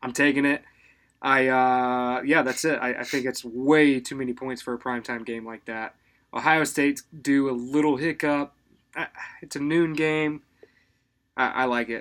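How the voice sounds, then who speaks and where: With monotone, flat intonation and long, frequent pauses, a man speaks at a moderate pace and medium pitch on a very clean recording with a silent background. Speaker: sports betting podcast co-host. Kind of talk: casual chat.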